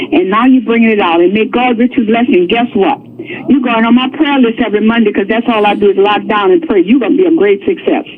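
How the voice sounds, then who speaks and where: A woman's fairly high, very fast voice with lively intonation and very even loudness, over noticeable background noise. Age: 70s. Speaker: caller, pastor. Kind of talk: call-in comment. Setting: phone call.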